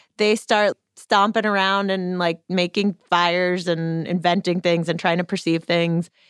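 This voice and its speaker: A woman's fairly low voice at a fairly slow pace, hardly any pauses, very even loudness, on a very clean recording with a silent background. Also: dry, close sound with no echo. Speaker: radio host. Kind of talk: casual conversational hosting. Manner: animated, friendly.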